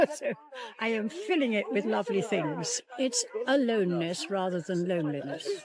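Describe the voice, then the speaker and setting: A woman speaks at a moderate pace with noticeable background noise behind her. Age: 80s+. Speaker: passer-by interviewed on the street. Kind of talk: street interview. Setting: outdoors.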